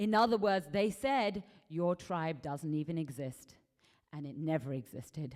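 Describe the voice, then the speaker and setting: An English accent at a fairly slow pace. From England. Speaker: conference speaker. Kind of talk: lecture.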